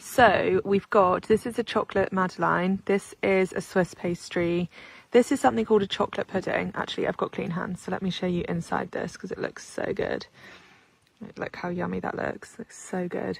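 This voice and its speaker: A woman speaks quietly at a moderate pace, the sound dry and close with no echo. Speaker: lifestyle vlogger. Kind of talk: casual vlog chat. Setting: at home. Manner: animated.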